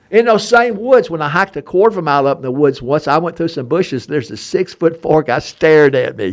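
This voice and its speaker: Very fast and with hardly any pauses, a man with an Alabama accent talks in an animated tone at a fairly high pitch, his pitch swinging very widely. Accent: Southern US (Alabama). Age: 70s. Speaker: historian and treasure hunter. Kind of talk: casual chat.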